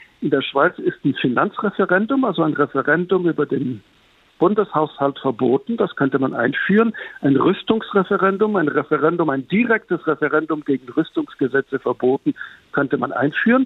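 A man's fairly high pitch in an ordinary speaking voice, with lively intonation, moderate pace and very even loudness. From Switzerland. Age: 60s. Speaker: journalist. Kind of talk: interview.

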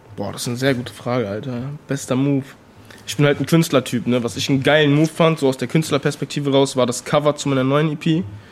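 His intonation fairly even, a man rattles along at a very fast pace. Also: fairly high pitch for a man. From Bonn, western Germany. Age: 20s. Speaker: rapper. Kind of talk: interview. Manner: casual slangy with many fillers.

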